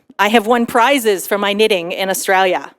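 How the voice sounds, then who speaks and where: In a very clean recording with a silent background and a dry, close sound with no echo, a woman with an American accent speaks at a medium pitch. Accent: American accent, noticeable to others. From United States. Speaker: tech conference speaker, solutions architect manager. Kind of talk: conference talk. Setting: stage with audience.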